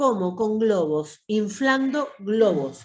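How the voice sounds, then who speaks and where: A woman at a fairly high pitch makes very wide pitch swings, and the room echo is audible. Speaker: pharmacy course teacher. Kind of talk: online lecture. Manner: long breath phrases.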